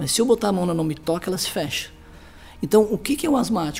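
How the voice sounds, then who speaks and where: Noticeable background noise behind a man speaking very fast at a high pitch. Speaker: pediatrician. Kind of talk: interview. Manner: halting.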